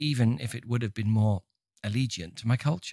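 A somewhat breathy male voice at medium pitch, fairly quick, with ordinary pitch variation, in a very clean, dry, close recording with a silent background and no echo. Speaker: audiobook narrator. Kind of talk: dramatic first-person audiobook narration of fiction, reading aloud.

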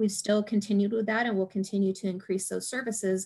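Against a quiet background, a woman talks at a very fast pace and medium pitch. Her voice is somewhat breathy, with monotone, flat intonation. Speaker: college vice president. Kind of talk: presentation report. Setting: video call. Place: home room. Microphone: video call.

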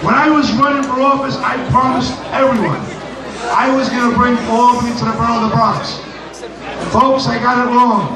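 Raising and projecting his voice, a man speaks fairly quickly at an extremely high pitch, with noticeable background noise and audible room echo. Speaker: state assemblyman. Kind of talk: rousing speech to a crowd. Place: hall. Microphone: pa.

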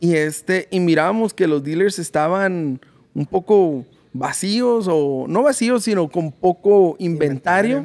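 This man has a high voice with lively intonation. He talks at a fairly slow pace. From Mexicali, Mexico; Mexico. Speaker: podcast host. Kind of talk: casual interview; sponsor read. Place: shop. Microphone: studio mic.

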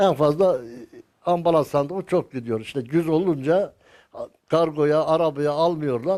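A man with a dark, mellow tone speaks at a fairly slow pace with ordinary pitch variation. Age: 80s+. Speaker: carpenter. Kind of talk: interview answer.

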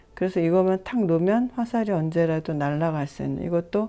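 At a very slow pace, a woman speaks with a dark, mellow tone, medium pitch and lively intonation in a very clean recording with a silent background. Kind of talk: tutorial. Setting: home recording. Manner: soft-spoken.

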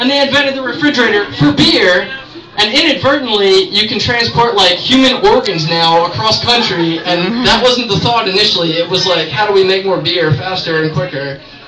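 A man projects a raised voice in an American accent, with a high pitch and lively intonation. He talks at a fairly quick pace with hardly any pauses, over noticeable background noise. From Maryland, Baltimore area. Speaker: stand-up comedian. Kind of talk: raunchy open-mic stand-up set riffing on holidays, TV and local towns. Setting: bar stage with live audience. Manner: rambling, self-interrupting, with frequent fillers and repeated words; crude, exasperated storytelling with mock-outraged punchlines. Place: bar. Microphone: camera far.

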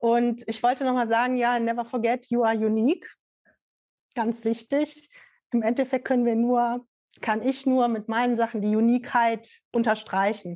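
A monotone, flat delivery in a dark, mellow tone, held at very even loudness with long, frequent pauses over a quiet background. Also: woman, fairly high pitch for a woman, moderate pace. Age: 50s. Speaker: fashion label founder and NFT project creator; NFT project creator. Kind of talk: casual interview. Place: empty room.

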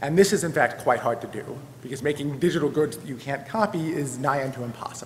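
A man talks at a very fast pace with ordinary pitch variation. Audible room echo and light background noise surround him. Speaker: conference presenter. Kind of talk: lecture. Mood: a little flustered. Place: hall. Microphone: podium.

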